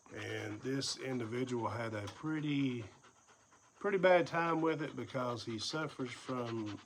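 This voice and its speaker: A man with an Appalachian accent and a medium pitch speaks at a fairly slow pace with ordinary pitch variation, and audible room echo surrounds his voice. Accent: Southern Appalachian American. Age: 50s. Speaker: vlogger, former first responder and investigator. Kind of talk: personal vlog monologue. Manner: casual, with fillers.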